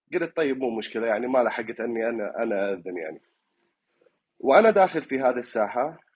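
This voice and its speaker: A man with an Iraqi accent speaks with lively intonation. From Iraq, Fallujah. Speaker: caller. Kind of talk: dream recounting on call-in show. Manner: halting, many fillers.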